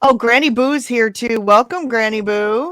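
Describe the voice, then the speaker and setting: A woman with a plain, everyday voice speaks at a fairly slow pace and fairly high pitch, with ordinary pitch variation. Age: 40s. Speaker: keto coach and live-stream host. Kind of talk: casual chat. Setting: live stream video call.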